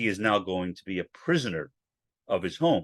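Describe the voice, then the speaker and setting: A man's very deep, low voice at a moderate pace, dry and close with no echo, over a quiet background. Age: 60s. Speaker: podcaster. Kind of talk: solo podcast monologue. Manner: halting, with repetitions and fillers.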